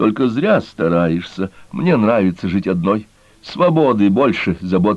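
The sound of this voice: The reading comes across in an unforced voice.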